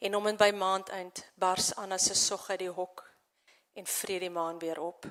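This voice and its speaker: A woman with a South African accent, medium pitch, and monotone, flat intonation. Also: moderate pace. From South Africa, central farmland. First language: Afrikaans. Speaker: poet and novelist. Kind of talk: poetry reading.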